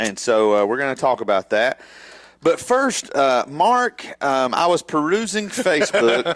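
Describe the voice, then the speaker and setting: Loud and fairly slow, a man speaks in a fairly high pitch with very wide pitch swings. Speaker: wrestling podcast co-host. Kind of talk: casual chat.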